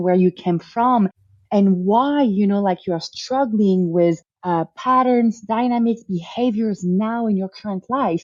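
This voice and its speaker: A woman speaks at a moderate pace and medium pitch, varying it in an ordinary way. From France. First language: French. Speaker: family constellation therapist. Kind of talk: interview.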